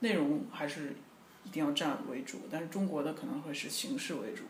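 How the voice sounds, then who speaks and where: Over noticeable background noise and audible room echo, a man talks at a fairly quick pace with fairly high pitch and lively intonation. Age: young. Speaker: pop singer. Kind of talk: interview. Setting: at home.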